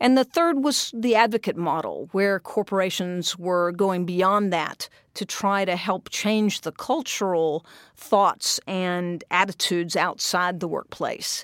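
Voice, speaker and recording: A woman with an American accent speaks at a fairly slow pace in a normal speaking voice, her medium pitch showing ordinary variation, on a very clean recording with a silent background and a dry, close sound with no echo. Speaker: tech company managing director. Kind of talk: interview. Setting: studio.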